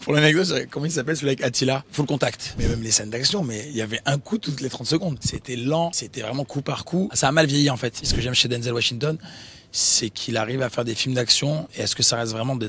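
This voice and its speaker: This man speaks very fast at a medium pitch, with ordinary pitch variation. Noticeable background noise runs behind him. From southern France (Nîmes). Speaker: actor. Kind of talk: interview. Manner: casual, hesitant with repetitions.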